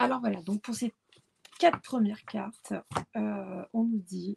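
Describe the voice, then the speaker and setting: Speaking at a fairly slow pace, a woman has a medium-pitched, somewhat breathy voice. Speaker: tarot card reader. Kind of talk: tarot reading. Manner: halting, many hesitations.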